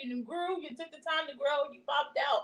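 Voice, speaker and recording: A woman at a moderate pace. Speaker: student learning card reading. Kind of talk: practice card reading. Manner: quiet, soft-spoken.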